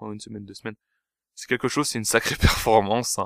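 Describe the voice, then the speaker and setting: In a very clean recording with a silent background and a dry, close sound without echo, a man talks at a fairly low pitch with fairly even intonation. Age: 20s. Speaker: podcast host. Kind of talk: solo monologue. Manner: hesitant, many fillers; casual.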